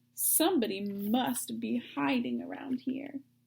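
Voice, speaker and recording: A woman puts on a character voice at a medium pitch. She goes fairly slowly, with very wide pitch swings. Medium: read story.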